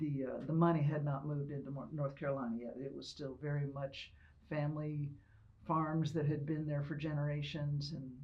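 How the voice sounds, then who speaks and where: Speaking fairly quickly in an American accent, a woman with a very deep, low pitch keeps a monotone, flat intonation while room echo is audible. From Ohio. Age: 70s. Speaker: retired military officer and veterinarian. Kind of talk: oral history interview. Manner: conversational, some hesitations.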